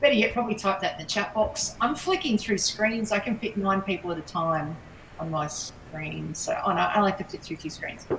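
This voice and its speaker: Noticeable background noise sits behind a woman speaking at medium pitch. She moves at a fairly quick pace with ordinary pitch variation. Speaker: sales trainer. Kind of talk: online workshop. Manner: fast.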